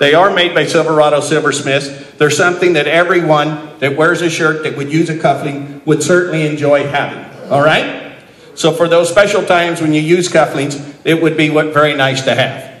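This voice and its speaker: A man speaks at a moderate pace in a fairly high pitch, his intonation flat and monotone. Noticeable background noise runs underneath. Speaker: professional auctioneer. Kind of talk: live charity auction bid calling. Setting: banquet room with live audience. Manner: friendly, conversational, salesman-like pitch.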